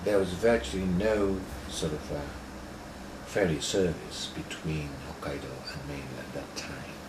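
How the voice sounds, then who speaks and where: A man talks at a fairly slow pace in a very deep, low pitch, with ordinary pitch variation, long, frequent pauses and big swings in loudness. Noticeable background noise and audible room echo fill the recording. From Japan (Osaka, then Tokyo). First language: Japanese. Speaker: professor. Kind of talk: interview. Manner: halting.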